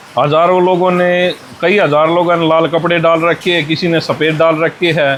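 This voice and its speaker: Here a man speaks with a Haryanvi accent. His voice is high-pitched and his intonation monotone and flat. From Haryana, India. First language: Haryanvi (speaking Hindi). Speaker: monk, former wrestler. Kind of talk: interview.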